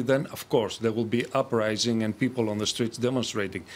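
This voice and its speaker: A man talks with a Greek accent. His intonation stays fairly even. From Greece. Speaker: economist; guest. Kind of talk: televised panel debate. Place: studio. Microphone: lapel.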